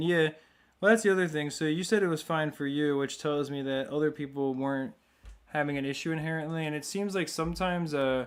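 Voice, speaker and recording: A soft-spoken man with a fairly high pitch, fairly even intonation and a fairly quick pace. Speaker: gaming livestreamer. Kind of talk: casual livestream commentary. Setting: live stream.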